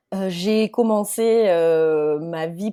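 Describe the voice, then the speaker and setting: A woman's dark, mellow, fairly low-pitched voice with a Marseille accent, in a very clean recording with a silent background. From southern France, Marseille / Alpes de Haute-Provence. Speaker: startup CEO. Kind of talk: podcast interview. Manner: animated.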